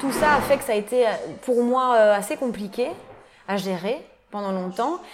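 A woman speaks over noticeable background noise. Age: 20s. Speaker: tattoo artist. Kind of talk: interview. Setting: tattoo shop.

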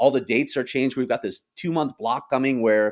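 A man speaks at a fairly quick pace in an American accent, with a medium pitch. It is an ordinary speaking voice on a very clean recording with a silent background. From US Midwest, Chicago. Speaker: hockey reporter. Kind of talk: podcast interview.

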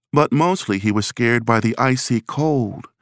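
The speaker has a plain, everyday voice with ordinary pitch variation. The recording is very clean, with a silent background. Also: man. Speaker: audiobook narrator. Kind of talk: dramatic narration. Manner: tense, suspenseful, building dread.

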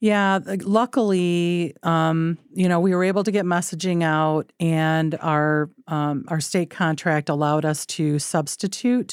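Speaking in a plain, everyday voice with an American accent, a woman has fairly low pitch, ordinary pitch variation and very even loudness, keeping a fairly slow pace with hardly any pauses on a very clean recording with a silent background. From rural Michigan. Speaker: public health officer. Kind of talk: interview conversation.

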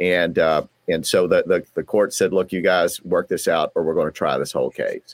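Dry, close sound with no echo and a Southern US accent. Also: man, moderate pace. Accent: Southern twang. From US South, southeastern Kentucky. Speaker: divorce lawyer. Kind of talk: interview. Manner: halting, repeats words.

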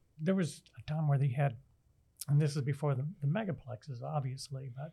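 Somewhat breathy and dark, mellow in tone, a man speaks fairly quickly at a fairly high pitch with fairly even intonation. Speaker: local journalist. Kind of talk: casual chat.

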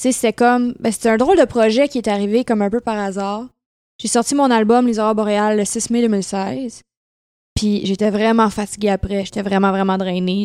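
A woman with a dark, mellow tone and medium pitch speaks at a moderate pace with fairly even intonation. The recording is very clean and the background silent. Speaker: singer. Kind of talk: casual chat. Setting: at her home.

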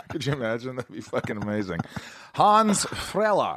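A man uses a normal speaking voice with lively intonation. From Indiana. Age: 40s. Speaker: podcast host. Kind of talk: casual interview chat.

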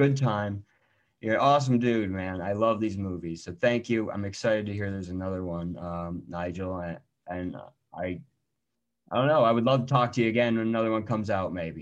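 Over a quiet background, a man with a fairly low pitch speaks in an ordinary speaking voice at a fairly quick pace. His loudness swings widely, while his pitch variation stays ordinary. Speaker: podcast host. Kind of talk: casual interview.

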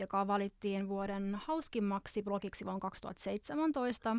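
A woman talks at a very slow pace with a fairly high pitch. The recording is very clean with a silent background and a dry, close sound without echo. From Finland. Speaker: podcast host and visual artist. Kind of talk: casual chat. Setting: studio.

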